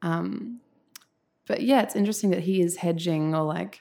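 A woman's fairly low, dark and mellow voice with an Australian accent, at a moderate pace. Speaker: essayist. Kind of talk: casual interview conversation.

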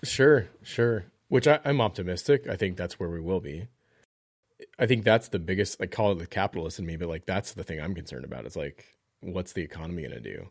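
A man speaks with a very deep, low pitch, vocal fry, very wide pitch swings and big swings in loudness. The recording is very clean, with a silent background. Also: fairly quick pace. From US South. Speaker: podcast guest, church media volunteer. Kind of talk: casual chat.

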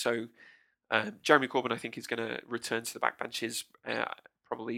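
A man talks at a moderate pace with a British accent. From UK. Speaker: political commentator guest. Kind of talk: political analysis in casual chat. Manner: halting, repeats words.

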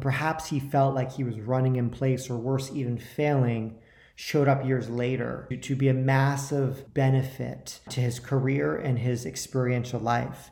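With an American accent, a man speaks in a dark, mellow, somewhat breathy voice with fairly even intonation, and the room echo is audible. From New York. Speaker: podcast host. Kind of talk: interview; scripted introduction.

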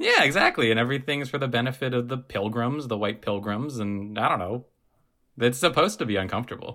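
Talking very fast, a man uses a medium pitch, a bright, sharp tone and a playful, animated delivery with ordinary pitch variation. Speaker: podcast co-host. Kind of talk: casual chat.

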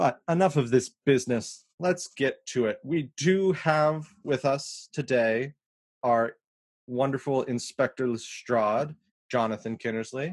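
A man's medium-pitched voice, a normal speaking voice, fairly slow with ordinary pitch variation, dry and close with no echo against a quiet background. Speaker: podcast co-host. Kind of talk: casual chat.

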